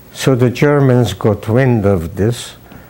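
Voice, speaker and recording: With a dark, mellow tone, a man talks at a fairly slow pace and uses ordinary pitch variation. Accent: Hungarian. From Hungary. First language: Hungarian. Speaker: professor emeritus, biologist; professor emeritus. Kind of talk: oral history interview. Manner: halting, with fillers. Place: home room. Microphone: lapel.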